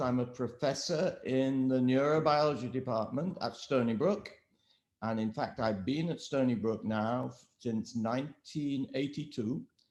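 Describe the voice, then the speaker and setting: Speaking at a fairly slow pace, a man with an English accent uses a medium pitch and ordinary pitch variation. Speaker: professor. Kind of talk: interview. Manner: halting, many fillers.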